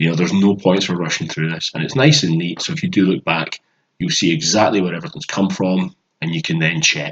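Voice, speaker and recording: A man talks at a very fast pace with a Glaswegian accent. His pitch is very deep and low, with ordinary variation. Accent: Glaswegian Scottish. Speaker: maths tutor. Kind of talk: tutorial.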